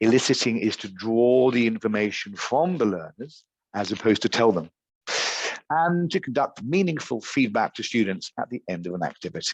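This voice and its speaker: A man with an English accent at a medium pitch, fairly quick, with very wide pitch swings and a dry, close sound with no echo. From England. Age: 50s. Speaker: teacher trainer. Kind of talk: online teacher training workshop. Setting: video call.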